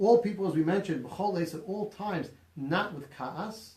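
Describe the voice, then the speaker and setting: A man speaks loudly in a high voice with lively intonation, with audible room echo and noticeable background noise. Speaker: rabbi teaching a class. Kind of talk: lecture. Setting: small room, live-streamed class.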